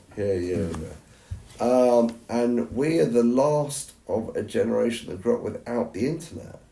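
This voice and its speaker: Over noticeable background noise, a man with an English accent and medium pitch speaks at a fairly slow pace with lively intonation. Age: 50s. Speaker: podcast co-host. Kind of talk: heated debate. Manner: animated.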